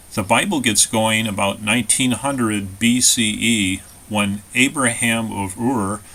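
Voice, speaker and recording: A man with an American accent talks at a medium pitch in an unremarkable speaking voice. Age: 60s. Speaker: author. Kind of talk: scripted narration.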